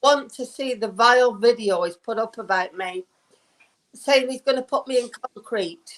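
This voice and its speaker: With a British accent, a woman speaks in a fairly high voice at a moderate pace. Her pitch variation is ordinary. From northern England. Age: 60s. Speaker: caller. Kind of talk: call-in complaint. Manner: halting.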